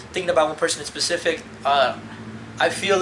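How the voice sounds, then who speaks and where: Against noticeable background noise, a man with a fairly high pitch rattles along at a very fast pace with fairly even intonation. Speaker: vlogger. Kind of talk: personal confessional vlog. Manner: halting, many fillers.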